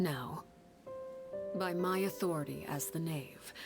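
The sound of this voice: A woman's put-on character voice, low-pitched with vocal fry and ordinary pitch variation, at a slow pace over faint music in the background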